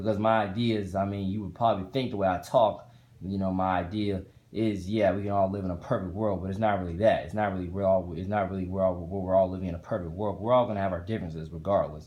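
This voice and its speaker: A man's very deep, low voice with an American accent, very fast and fairly even in intonation. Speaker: vlogger. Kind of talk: casual vlog monologue. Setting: hotel room. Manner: halting, repetitive with fillers.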